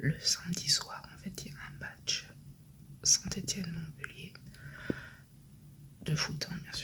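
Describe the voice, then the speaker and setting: A whispering woman, with noticeable noise in the background. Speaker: vlogger and shop owner. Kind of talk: casual vlog talk to camera. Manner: speaking softly.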